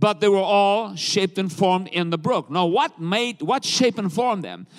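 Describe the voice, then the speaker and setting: An animated, high-pitched man at a moderate pace, with ordinary pitch variation and a very clean recording against a silent background. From South Africa. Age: 60s. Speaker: traveling evangelist preacher. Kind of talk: sermon. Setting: church with congregation.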